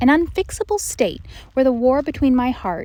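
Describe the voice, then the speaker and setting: A woman's speech unfolds at a fairly slow pace while noticeable background noise runs underneath. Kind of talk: meditation reading, reflective spoken essay.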